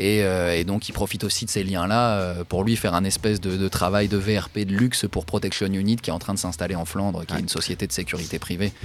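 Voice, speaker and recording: A man with a plain, everyday voice speaks at a fairly quick pace in a fairly low pitch, his intonation fairly even and hardly any pauses between words. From France. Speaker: investigative journalist and author. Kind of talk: interview. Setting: studio.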